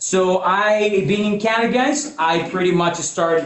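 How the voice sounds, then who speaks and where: A man with a Mexican accent, high in pitch, at a fairly slow pace with ordinary pitch variation and audible room echo. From Mexico. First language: Spanish. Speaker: financial services presenter. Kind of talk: business presentation. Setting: in-person meeting also streamed on video call.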